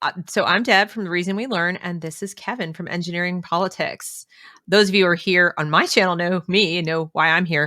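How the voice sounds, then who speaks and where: In an American accent, a woman with a fairly low pitch and a bright, sharp tone talks at a fairly quick pace on a very clean recording with a silent background. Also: fairly even intonation. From New York City. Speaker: former teacher, education commentator. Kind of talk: casual podcast conversation. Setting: live stream.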